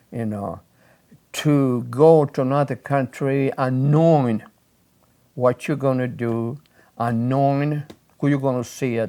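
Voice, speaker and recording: At a fairly slow pace with long, frequent pauses, a man speaks at a medium pitch in a dark, mellow tone with fairly even intonation. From Sicily, Italy. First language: Italian. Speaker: immigrant recounting life story. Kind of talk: oral history interview. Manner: halting, many repetitions and fillers.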